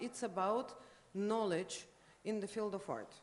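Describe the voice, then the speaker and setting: Amid audible room echo, a woman speaks in a Russian accent at a medium pitch. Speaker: art critic. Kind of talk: conference lecture. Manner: halting, many fillers.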